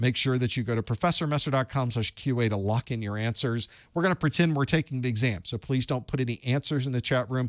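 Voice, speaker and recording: Animated, fairly quick speech with ordinary pitch variation, a dry sound with no echo and a quiet background. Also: man. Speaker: IT certification instructor. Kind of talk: live-streamed study group. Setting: home studio live stream. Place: studio. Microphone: studio mic.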